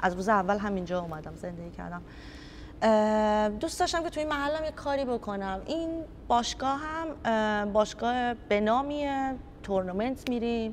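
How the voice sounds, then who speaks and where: In audible room echo, a woman with a fairly high pitch talks at a moderate pace with lively intonation. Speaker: youth football coach. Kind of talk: interview. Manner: animated.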